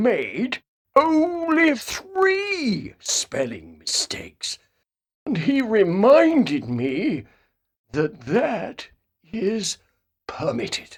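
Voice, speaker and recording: Very slow and fairly high-pitched, a put-on character voice. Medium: read story. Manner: stern, commanding.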